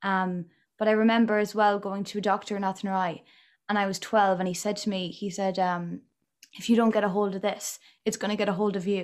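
A woman with an Irish accent speaks at a fairly quick pace in a medium pitch with monotone, flat intonation. The recording is very clean, with a silent background. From Ireland. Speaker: podcast host. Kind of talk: casual interview.

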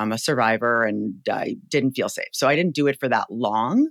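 A man speaks in an ordinary speaking voice at a medium pitch and a moderate pace. The sound is dry and close, with no echo. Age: 40s. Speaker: startup founder and CEO. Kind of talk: casual interview.

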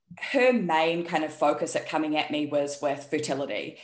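A woman talks at a moderate pace with a New Zealand accent. The background is quiet. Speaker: health and performance coach. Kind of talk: casual interview chat.

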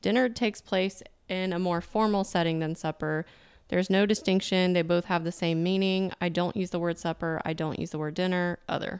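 On a very clean recording with a silent background, a woman with a slight Southern US accent speaks at a fairly quick pace, fairly low in pitch and fairly even in intonation. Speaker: podcast host. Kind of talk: casual chat.

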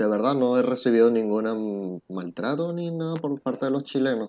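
At a moderate pace and a medium pitch, a man speaks in a dark, mellow tone with ordinary pitch variation. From Venezuela, Puerto La Cruz. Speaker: immigrant interviewee. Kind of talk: interview.

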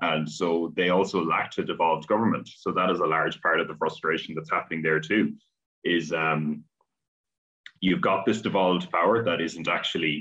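A man with an Irish accent talks at a moderate pace. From Ireland. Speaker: academic, political commentator. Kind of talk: interview.

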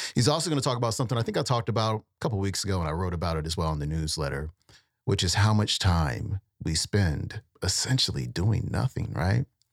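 This man's voice sits fairly low, with vocal fry and very wide pitch swings as he speaks very fast. The recording is very clean, with a silent background and a dry, close sound with no echo. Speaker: podcast host. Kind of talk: casual podcast intro and outro. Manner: casual, laid-back.

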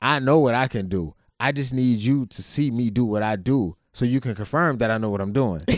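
On a very clean recording with a silent background, a man with an American accent and an unremarkable speaking voice talks fairly quickly at a medium pitch. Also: ordinary pitch variation. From Ohio, Youngstown. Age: 30s. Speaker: podcast co-host, navy veteran, business owner. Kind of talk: casual chat.

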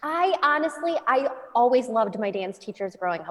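A normal speaking voice from a woman, fairly high in pitch, at a moderate pace. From US Midwest, Chicago. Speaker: dance studio owner and teacher. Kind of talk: casual interview.

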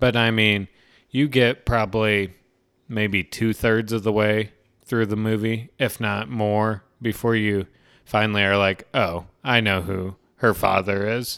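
A man's fairly low-pitched, plain, everyday voice, with fairly even intonation and a fairly slow pace. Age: young. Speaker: podcast co-host, movie reviewer. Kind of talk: casual chat.

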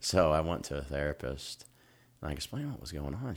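On a very clean recording with a silent background, a man with an American accent speaks at a very deep, low pitch with vocal fry. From US Midwest (Dayton, Ohio). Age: 30s. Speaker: stand-up comedian. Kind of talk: casual chat.

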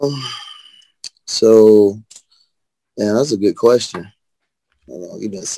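A man speaks with a Southern US accent. His tone is dark and mellow, and the sound is dry and close with no echo. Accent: US South. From Birmingham, Alabama. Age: 30s. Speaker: rapper. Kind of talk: casual interview chat.

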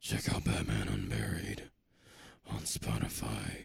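A man puts on a raspy character voice with a very deep, low pitch. He speaks at a fairly slow pace in a dramatic tone. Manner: dramatic, brooding.

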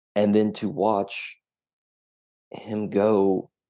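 Here a man speaks with a Southern US accent. The background is quiet. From Tennessee. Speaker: novelist. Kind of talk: casual interview.

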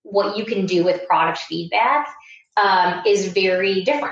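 Audible room echo surrounds a woman speaking with an American accent and ordinary pitch variation. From US Midwest, Iowa. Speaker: startup founder and CEO. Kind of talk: interview. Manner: hesitant, many fillers.

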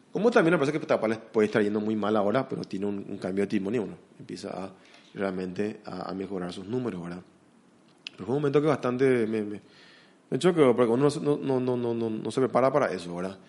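A man's fairly low-pitched voice, very fast and full of lively intonation. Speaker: investment consultant. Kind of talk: interview. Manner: halting, many repetitions and fillers.

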